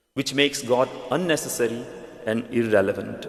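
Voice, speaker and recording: At a moderate pace, a man talks with a strong Indian accent. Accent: Indian, thick. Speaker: pastor. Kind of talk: sermon. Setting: church.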